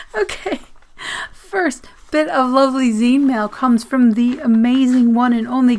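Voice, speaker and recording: A woman speaks at a high pitch with ordinary pitch variation over noticeable background noise. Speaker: zine reviewer and vlogger. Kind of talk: casual mail-opening vlog. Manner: halting, flustered.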